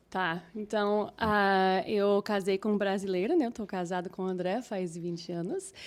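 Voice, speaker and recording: Hardly pausing, a woman with an American accent speaks at a medium pitch with fairly even intonation in a very clean recording with a silent background. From Minnesota, US Midwest. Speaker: English teacher, singer, pastor's wife. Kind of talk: casual chat. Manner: halting.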